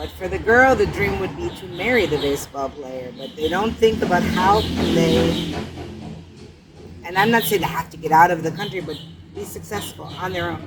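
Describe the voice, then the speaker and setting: Amid noticeable background noise and audible room echo, a woman talks at a moderate pace with big swings in loudness. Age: 60s. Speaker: charity founder. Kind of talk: interview. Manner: halting.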